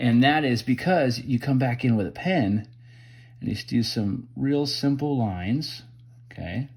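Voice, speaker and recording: A man talks at a fairly slow pace, his voice somewhat breathy. His pitch is medium, with ordinary variation. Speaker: wood carving instructor. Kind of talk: tutorial. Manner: casual.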